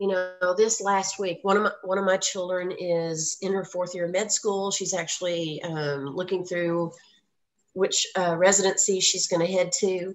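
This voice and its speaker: The speaker talks in a monotone, flat intonation with an American accent. The pace is moderate. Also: woman, medium pitch for a woman. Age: 60s. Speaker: voice casting agency founder. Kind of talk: radio interview, casual chat. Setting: radio show. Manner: chatty.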